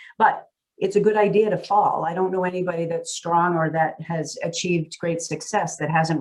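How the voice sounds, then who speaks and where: This woman has a fairly low-pitched voice with a Massachusetts accent. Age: 60s. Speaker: real estate CEO. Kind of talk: interview conversation.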